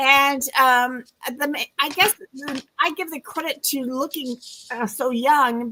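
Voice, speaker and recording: A woman speaks at a high pitch in a raised, projected voice. Her tone is bright and sharp, and her pace is fairly slow. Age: 70s. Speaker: retirement coach. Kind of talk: interview. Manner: halting.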